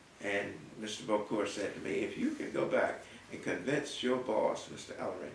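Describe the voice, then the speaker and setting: A man with an American accent speaks at a moderate pace. Noticeable background noise runs underneath. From North Carolina, US South. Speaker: artist and art professor. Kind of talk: oral history interview answer.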